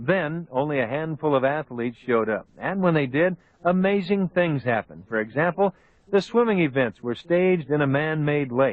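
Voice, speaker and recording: Fairly high in pitch with ordinary pitch variation, a man talks at a fairly quick pace in an unremarkable speaking voice. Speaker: old time radio host / narrator. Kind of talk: old time radio documentary narration. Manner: clear, storytelling, measured.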